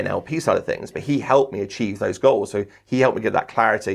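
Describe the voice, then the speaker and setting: A man speaks with an English accent at a very fast pace. His tone is animated. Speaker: sports commentator and trainer. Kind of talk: podcast interview.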